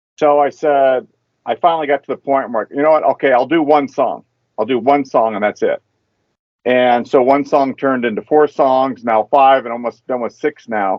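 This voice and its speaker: A man with an American accent and an unremarkable speaking voice talks at a moderate pace and a medium pitch. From Southern California, Anaheim. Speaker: saxophonist. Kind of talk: casual interview.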